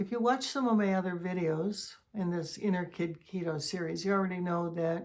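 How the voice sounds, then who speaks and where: Here a woman speaks at a moderate pace with a fairly low pitch. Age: 70s. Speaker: wellness vlogger. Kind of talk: inspirational talk.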